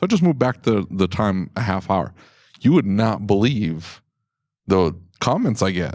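On a very clean recording with a silent background, a man with a fairly low pitch and lively intonation talks at a moderate pace, leaving long, frequent pauses. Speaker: podcast host. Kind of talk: casual chat. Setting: trade show event. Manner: sarcastic, joking.

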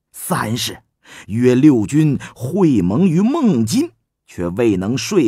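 Someone reads aloud in an unforced voice. Nothing much can be heard behind it.

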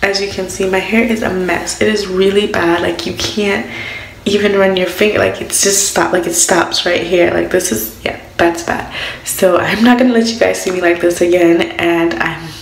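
With audible room echo, a woman speaks at a moderate pace and with ordinary pitch variation. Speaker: vlogger. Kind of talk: casual vlog chat. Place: bathroom. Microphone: phone near.

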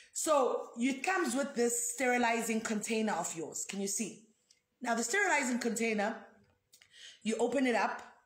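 With lively intonation and an animated tone, a woman speaks at a moderate pace in a high-pitched voice, and audible room echo surrounds her. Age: 30s. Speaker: foundation founder. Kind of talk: live video product demonstration. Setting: live video stream. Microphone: phone near.

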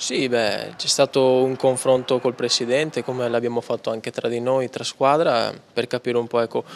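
Monotone and flat, a man's voice moves at a moderate pace. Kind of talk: interview answer. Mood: calm, reflective after losses. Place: hall. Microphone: handheld.

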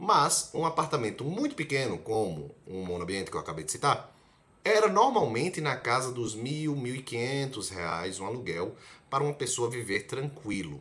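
With a bright, sharp tone and vocal fry, a man speaks at a moderate pace through very wide pitch swings. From Brazil, Recife (Pernambuco); Pernambuco, Brazil. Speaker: medical student, video blogger; video blogger. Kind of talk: casual explainer vlog. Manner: conversational, direct address to viewer. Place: home room. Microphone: phone near.

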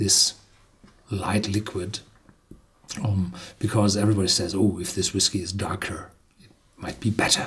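A man speaks at a moderate pace in a fairly low, somewhat breathy voice. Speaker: presenter. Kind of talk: product review talk, partly reading label. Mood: relaxed, lightly humorous. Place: studio.

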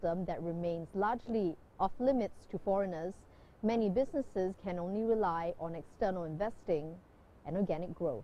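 A woman at a moderate pace with ordinary pitch variation, in a dry sound with no echo. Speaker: TV news correspondent. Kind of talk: TV news report.

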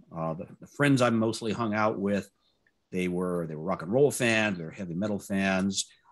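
Against a quiet background, a man speaks in an ordinary speaking voice, fairly low in pitch with ordinary variation, at a moderate pace. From US South, Louisiana. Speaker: test automation speaker; speaker. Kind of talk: conference talk. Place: home room.

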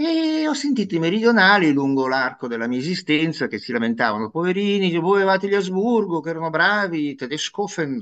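A man talks at a fairly quick pace in a high pitch. His pitch swings very widely. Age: 60s. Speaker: professor. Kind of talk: interview. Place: home room. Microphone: video call.

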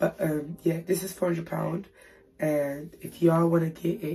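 A woman's raspy, somewhat breathy whispering at a very slow pace. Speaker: YouTube haul vlogger. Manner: whispering, late at night.

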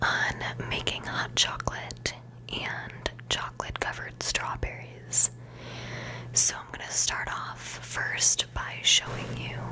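Whispering at a very slow pace, a woman uses a gentle tone with big swings in loudness. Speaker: ASMR content creator. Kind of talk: ASMR whispered recipe tutorial. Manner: whispered, slow, gentle. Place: home room.

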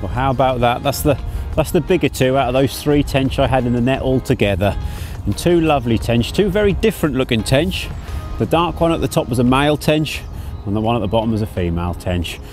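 Clear music plays in the background. A man talks at a fairly quick pace and medium pitch with lively intonation.

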